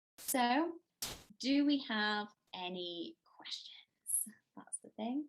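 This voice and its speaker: Delivered at a very slow pace, this voice has lively intonation and long, frequent pauses. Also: woman, high pitch for a woman. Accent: Cardiff. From Wales, Cardiff. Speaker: travel journalist. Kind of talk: conference talk.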